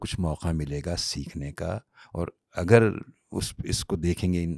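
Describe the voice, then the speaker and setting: A man speaks at a very deep, low pitch in a dark, mellow tone. The recording is very clean, with a silent background and a dry, close sound with no echo. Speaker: voice actor. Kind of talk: interview answer.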